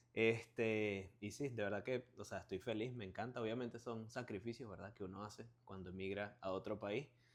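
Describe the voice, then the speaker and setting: A man with a Venezuelan accent speaks at a moderate pace, with hardly any pauses. His pitch is fairly low and his intonation fairly even. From Venezuela (Barquisimeto). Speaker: car salesman, watch reseller. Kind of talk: interview, casual chat. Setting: at his home.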